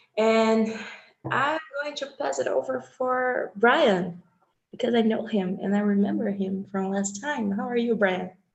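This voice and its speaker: The voice is somewhat breathy, with a Brazilian accent. It moves at a fairly slow pace with lively intonation. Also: woman, fairly high pitch for a woman. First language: Portuguese. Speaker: user group leader. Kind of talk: casual chat.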